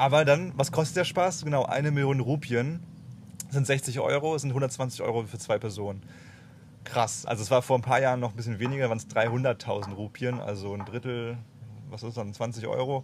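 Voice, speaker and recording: This man has a somewhat breathy voice at a medium pitch. He talks at a moderate pace. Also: ordinary pitch variation. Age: 20s. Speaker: travel podcast host. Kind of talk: casual chat.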